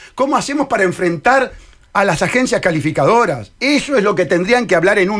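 A high-pitched man with a Uruguayan accent, his pitch swinging very widely, against a quiet background. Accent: Rioplatense Spanish (Uruguayan). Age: 60s. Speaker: presidential candidate; candidate. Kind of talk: radio interview. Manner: animated. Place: studio. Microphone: studio mic.

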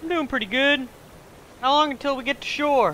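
A high-pitched put-on character voice at a fairly quick pace over clear background noise. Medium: machinima.

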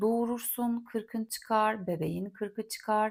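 A woman with a fairly high pitch talks in a calm, relaxed tone at a fairly slow pace. The recording is very clean, with a silent background. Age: 40s. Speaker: podcast host and content creator. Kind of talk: casual solo monologue. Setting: home recording in a quiet holiday house.

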